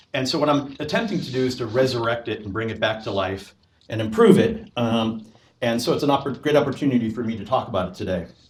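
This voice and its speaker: Amid audible room echo, a man speaks very fast at medium pitch with ordinary pitch variation. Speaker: professor. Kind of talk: lecture. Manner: loud; halting.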